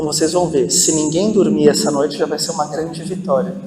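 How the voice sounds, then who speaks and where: Noticeable background noise and audible room echo surround a man whose fairly high voice keeps a fairly even intonation. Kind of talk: parish talk to an audience. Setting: hall with audience, using microphone.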